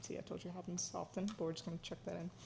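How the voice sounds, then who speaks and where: Her medium-pitched voice carries vocal fry as the woman speaks. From Florida, US, Ukrainian-speaking immigrant family. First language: Ukrainian. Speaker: cooking vlogger, student. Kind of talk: casual cooking vlog talk. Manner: casual, with many fillers.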